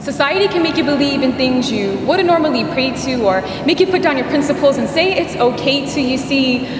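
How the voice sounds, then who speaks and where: A high-pitched woman talks at a fairly quick pace with hardly any pauses and ordinary pitch variation. The recording carries noticeable background noise and audible room echo. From Guam. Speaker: spoken word poet. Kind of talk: spoken word performance.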